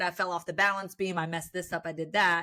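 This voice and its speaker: A woman speaks loudly in an animated, bright, sharp tone at a medium pitch. The recording is very clean, with a silent background. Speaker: sports broadcaster. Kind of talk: casual chat.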